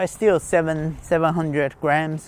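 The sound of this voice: A man at a slow pace, fairly high in pitch, with fairly even intonation.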